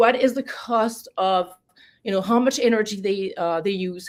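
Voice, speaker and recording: A woman with a French accent, fairly high in pitch, at a fairly quick pace. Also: very clean recording, silent background. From France. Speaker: political candidate. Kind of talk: interview. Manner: halting.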